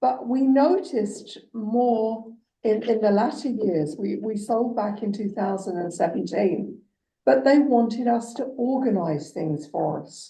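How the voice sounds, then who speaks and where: A woman with an English accent speaks at a fairly slow pace in a fairly high pitch, her dark, mellow tone carrying vocal fry, lively intonation and big swings in loudness, with audible room echo around her. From England. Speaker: municipal councillor. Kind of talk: council meeting discussion.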